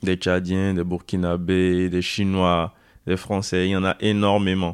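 A man with a very deep, low pitch at a very slow pace, quiet background. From Benin, Porto-Novo. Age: 20s. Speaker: student on civic service at a basketball club. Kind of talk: interview.

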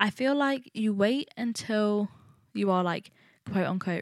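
A woman's medium-pitched voice at a moderate pace, with ordinary pitch variation, dry and close with no echo, on a very clean recording with a silent background. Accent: East Midlands. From England, Nottingham. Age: 20s. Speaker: podcast host, university student. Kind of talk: solo casual monologue. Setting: recording at home alone.

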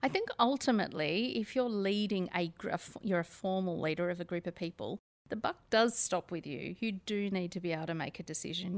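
A woman with an Australian accent, a fairly low pitch, ordinary pitch variation and a dry, close sound with no echo. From Australia (Sydney). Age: 50s. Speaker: author and company director. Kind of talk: interview.

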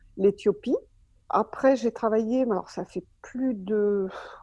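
A woman with an unremarkable speaking voice, medium pitch and fairly even intonation, in a dry, close sound with no echo and a quiet background. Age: 60s. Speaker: retired anaesthesia nurse, race medical coordinator. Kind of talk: interview.

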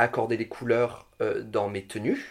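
A man's voice at a medium pitch. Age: 30s. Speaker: drag queen. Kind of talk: casual chat. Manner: halting, many fillers.

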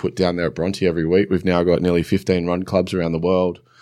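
On a very clean recording with a silent background, a man with an Australian accent speaks at a very deep, low pitch. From New South Wales, Australia. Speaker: former rugby league player, fitness entrepreneur. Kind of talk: casual interview. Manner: hesitant, many fillers.

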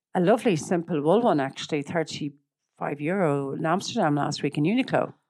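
A woman with an Irish accent and lively intonation, in a very clean recording with a silent background. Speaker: image consultant and personal stylist. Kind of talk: casual interview chat.

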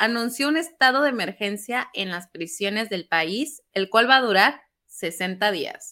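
A woman's bright, sharp voice at a fairly slow pace, with lively intonation, on a very clean recording over a silent background. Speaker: news podcast co-host. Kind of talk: casual news discussion.

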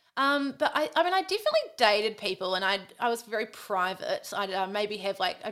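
Speaking with a New Zealand accent, a woman has a medium pitch. Her pitch moves up and down an ordinary amount. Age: 30s. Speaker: podcast host, former radio presenter. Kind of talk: casual chat.

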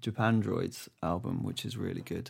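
On a very clean recording with a silent background, a man with an English accent speaks with fairly even intonation. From England. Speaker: podcast producer, musician. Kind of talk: casual chat.

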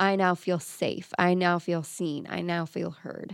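A woman's plain, everyday voice, fairly low in pitch, at a moderate pace, on a very clean recording with a silent background and a dry, close sound free of echo. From Florida. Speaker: country singer. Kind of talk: interview.

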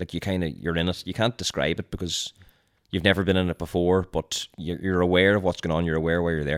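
Delivered at a very fast pace in a Donegal accent, the speech has fairly even intonation. The recording is very clean with a silent background, and the sound is dry and close with no echo. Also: man, very deep, low pitch for a man. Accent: Donegal Irish. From Donegal, Ireland. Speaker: content creator and reality show contestant. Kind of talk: casual chat.

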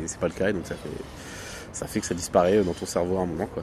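Noticeable background noise sits behind a man talking at a very fast pace. His pitch is very deep and low, and his intonation fairly even. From Morocco. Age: young. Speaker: podcast co-host. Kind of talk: casual chat. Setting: outdoors, hotel terrace.

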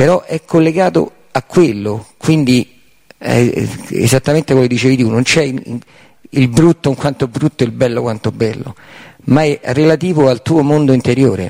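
A man with a dark, mellow tone speaks at a fairly slow pace. The sound is dry and close, with no echo. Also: medium pitch for a man, ordinary pitch variation. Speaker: seminar participant. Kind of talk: audience question. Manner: hard to understand.

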